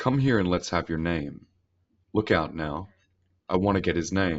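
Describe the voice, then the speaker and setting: A man uses a put-on character voice. His pitch is very deep and low. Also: moderate pace. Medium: read story. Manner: brusque, truculent.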